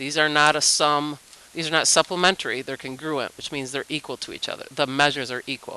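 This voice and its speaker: A woman speaks with a very deep, low pitch and ordinary pitch variation, with noticeable background noise behind her. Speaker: math teacher. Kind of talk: tutorial.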